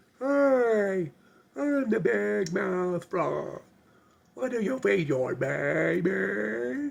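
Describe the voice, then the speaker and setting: A man puts on a character voice at a high pitch. He delivers it at a very slow pace. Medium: solo performance. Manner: eager, repetitive.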